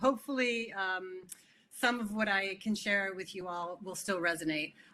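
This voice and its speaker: In a Californian accent, the voice has a bright, sharp tone, ordinary pitch variation and a moderate pace. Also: woman, medium pitch for a woman. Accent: General American (California). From California, US (early years in Italy and Switzerland). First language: Italian. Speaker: keynote speaker, tech community director, former teacher. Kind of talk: conference keynote talk. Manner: conversational with many fillers.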